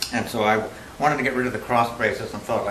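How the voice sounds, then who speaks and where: With noticeable background noise and audible room echo, a man in a fairly low pitch talks at a very fast pace. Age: 60s. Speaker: appellant at zoning hearing. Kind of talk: public hearing testimony. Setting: town board meeting with public audience. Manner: halting.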